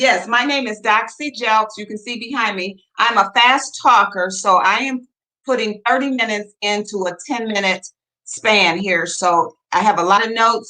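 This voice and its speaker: With a normal speaking voice, a woman talks at a moderate pace, her fairly high pitch showing ordinary pitch variation. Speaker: real estate broker. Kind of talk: presentation.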